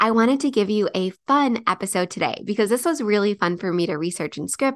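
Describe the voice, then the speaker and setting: A woman at a medium pitch and fairly quick pace, ordinary pitch variation, quiet background. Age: 30s. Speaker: podcast host and business coach. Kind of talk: solo podcast monologue. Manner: casual, chatty.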